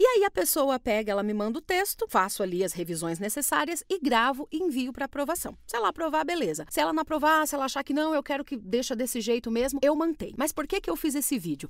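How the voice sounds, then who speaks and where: Talking at a very fast pace with hardly any pauses, a woman uses a high pitch and very wide pitch swings. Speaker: voice actor. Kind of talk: casual talk to camera. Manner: informal, conversational.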